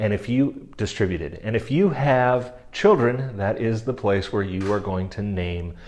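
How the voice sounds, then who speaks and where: Delivered at a moderate pace with ordinary pitch variation, this is a normal speaking voice. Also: man. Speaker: estate planning lawyer. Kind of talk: explainer video.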